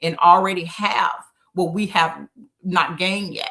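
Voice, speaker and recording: In an Arkansas accent, a woman talks at a fairly slow pace with fairly low pitch and fairly even intonation. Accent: Southern US (Arkansas). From Arkansas Delta, US South. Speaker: town mayor. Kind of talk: interview on a live stream. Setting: video call live stream. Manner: halting, stuttering.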